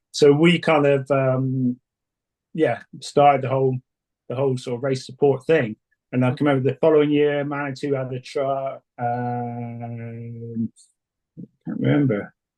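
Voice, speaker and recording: With an English accent, a man at medium pitch speaks at a fairly slow pace in a dark, mellow tone with fairly even intonation. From England. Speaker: suspension tuner, former race support mechanic. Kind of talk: interview. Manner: hesitant, many fillers.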